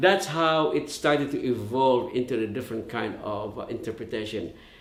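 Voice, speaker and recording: A man with a Visayan accent at a moderate pace, amid audible room echo and noticeable background noise. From Philippines, Leyte (Visayas). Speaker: musician and arranger. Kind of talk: artist talk. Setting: video call. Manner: halting.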